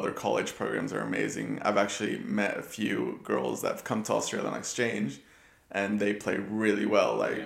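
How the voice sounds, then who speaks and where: Here a man speaks with an American accent. His pace is fairly quick. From Ecuador, raised in the US from 5 to 16. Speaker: football coach. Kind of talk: casual chat.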